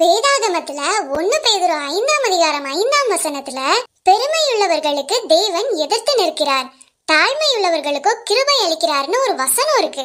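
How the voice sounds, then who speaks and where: A cartoonish character voice, female-sounding and extremely high, fairly slow, with very wide pitch swings. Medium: puppet. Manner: pleading, earnest.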